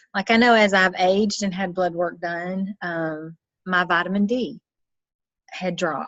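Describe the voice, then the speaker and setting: With a Southern US accent, a woman speaks fairly slowly at a medium pitch and with fairly even intonation. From US South. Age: 50s. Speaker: nutrition business owner. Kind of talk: interview.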